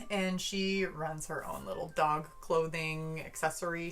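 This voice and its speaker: A woman with an American accent speaks at a very slow pace, her pitch fairly low, with hardly any pauses. Music plays in the background and the room has an audible echo. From US Midwest. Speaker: book vlogger. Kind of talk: casual book review. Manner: animated.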